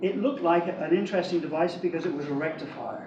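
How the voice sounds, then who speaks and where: A man with a high pitch is heard amid noticeable background noise and audible room echo. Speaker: electrical engineer. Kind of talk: lecture. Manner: fast.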